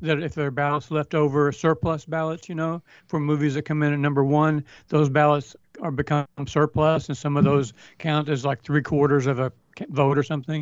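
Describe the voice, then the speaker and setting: In a dry, close sound with no echo and a quiet background, a man speaks fairly quickly in a monotone, flat way at a fairly high pitch. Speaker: film awards pundit and site editor. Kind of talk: casual chat. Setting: video call.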